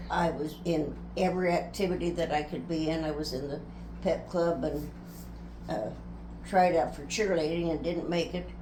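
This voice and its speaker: With audible room echo and noticeable background noise, a woman with an American accent talks at a moderate pace, taking long, frequent pauses. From US Midwest, rural Nebraska. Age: 90s. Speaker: interviewee recounting life story. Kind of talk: family life interview.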